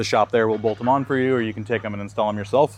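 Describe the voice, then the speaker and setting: A man speaks in a plain, everyday voice, fairly low in pitch, with fairly even intonation. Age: young. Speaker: vehicle outfitter showing a camper build. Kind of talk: product walkthrough. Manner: casual, many fillers.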